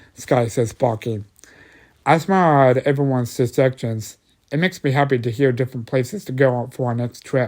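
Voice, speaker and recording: A man with an ordinary speaking voice talks at a moderate pace and medium pitch on a very clean recording with a silent background. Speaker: amateur story narrator. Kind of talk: horror story narration.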